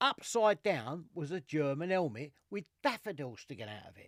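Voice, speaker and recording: A high-pitched man with an East London accent at a fairly slow pace, dry and close with no echo. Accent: East End London (Cockney). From East London, England. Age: 60s. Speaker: military collector and podcast co-host. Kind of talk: casual chat.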